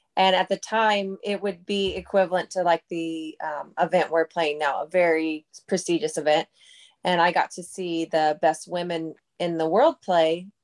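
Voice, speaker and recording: A woman with an American accent and an ordinary speaking voice, fairly low-pitched, at a moderate pace with fairly even intonation, in a dry, close sound with no echo against a quiet background. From Minnesota. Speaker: professional disc golfer. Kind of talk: interview. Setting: studio.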